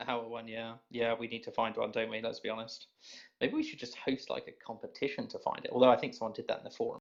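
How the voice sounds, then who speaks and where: A man talks at a very fast pace with a British accent. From Britain. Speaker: podcast host for a gaming community. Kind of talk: casual group chat on a call. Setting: group voice call.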